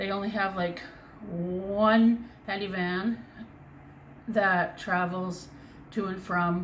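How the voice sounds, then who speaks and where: Amid noticeable background noise and audible room echo, a woman speaks at medium pitch with fairly even intonation, at a very slow pace with long, frequent pauses. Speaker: crochet vlogger. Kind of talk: casual chat. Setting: home bedroom. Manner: loud. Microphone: far from the mic.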